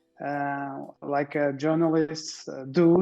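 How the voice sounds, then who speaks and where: A man with a Portuguese accent, dark, mellow tone and monotone, flat intonation. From Portugal. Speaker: car owner, school owner. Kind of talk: casual interview. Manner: halting.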